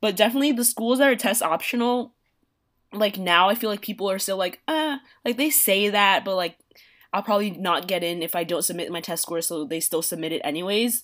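On a very clean recording with a silent background, a woman with an American accent talks fairly quickly in an unremarkable speaking voice at medium pitch with lively intonation. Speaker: college student. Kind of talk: casual chat.

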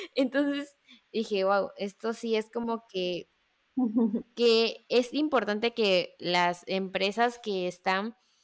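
A woman speaks at a very slow pace in a fairly high voice with ordinary pitch variation. The recording is very clean, with a silent background. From Mexico, Veracruz. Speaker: podcast host, marketing student. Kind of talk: casual interview chat.

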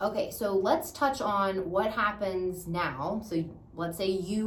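Audible room echo around a woman's medium-pitched voice. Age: 30s. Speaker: audiologist. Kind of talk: casual chat.

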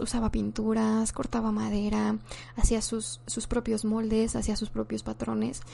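A woman with a Mexican accent, very deep and low in pitch, her pitch swinging very widely. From Mexico. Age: 20s. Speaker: podcast host and content creator. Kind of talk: casual monologue. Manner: halting, with frequent repetitions.

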